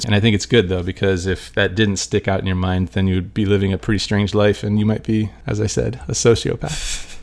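Speaking at a moderate pace, a man has a plain, everyday voice pitched fairly low. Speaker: poker player and podcast co-host. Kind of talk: casual chat. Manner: soft-spoken.

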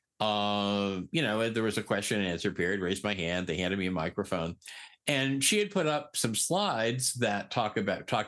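With an American accent, a man speaks in an ordinary speaking voice, fairly low in pitch, at a moderate pace with ordinary pitch variation against a quiet background. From Eastern Connecticut. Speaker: peer recovery specialist. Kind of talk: interview.

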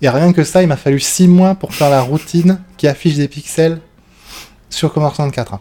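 A man speaks with a dark, mellow tone and a fairly high pitch. His pace is moderate, with ordinary pitch variation. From southwest France (Bordeaux, Lot-et-Garonne). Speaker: demoscene programmer. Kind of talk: casual chat. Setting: on a couch with beers. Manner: talkative.

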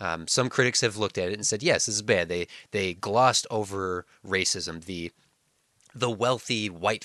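A man's bright, sharp voice, fairly low in pitch with ordinary pitch variation, at a moderate pace, dry and close with no echo, over a quiet background. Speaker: podcast co-host. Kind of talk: casual chat. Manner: animated, laughs often.

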